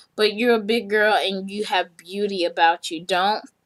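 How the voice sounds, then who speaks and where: An American accent comes through in a bright, sharp tone at a fairly slow pace. The recording is very clean, with a silent background. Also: woman. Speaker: vlogger. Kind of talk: motivational talk to camera. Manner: loud.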